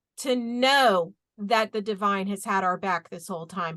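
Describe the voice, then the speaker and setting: Loud and animated, a woman speaks in a bright, sharp tone with lively intonation at a moderate pace. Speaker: spiritual talk show host. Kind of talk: casual spiritual chat. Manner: loud, fired up.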